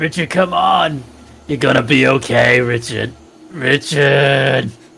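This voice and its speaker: A man does a raspy put-on character voice at a medium pitch, speaking at a fairly slow pace. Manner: forced, pushed low.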